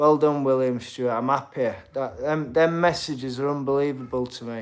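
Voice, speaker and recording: This man has a Yorkshire accent and a fairly high pitch. His intonation stays fairly even while his loudness swings widely. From Yorkshire, Sheffield. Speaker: boxer and streamer. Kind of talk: live stream chat reading comments. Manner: casual.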